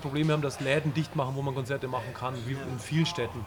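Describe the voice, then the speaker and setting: Over music in the background, someone talks at a very fast pace with ordinary pitch variation. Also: man. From Bavaria. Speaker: punk band singer and guitarist. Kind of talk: casual interview. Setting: live stream.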